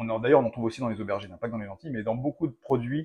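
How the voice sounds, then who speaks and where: His voice is somewhat breathy, with a dark, mellow tone at a medium pitch. The man's pitch varies in an ordinary way, in a dry, close sound with no echo. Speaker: cooking video host. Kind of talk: casual cooking tutorial.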